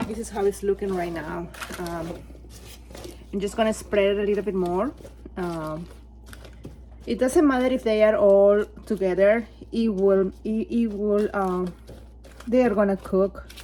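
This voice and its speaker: A woman with a Peruvian accent talks at a fairly slow pace with long, frequent pauses. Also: medium pitch for a woman, ordinary pitch variation. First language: Spanish. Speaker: home cook. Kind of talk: cooking tutorial.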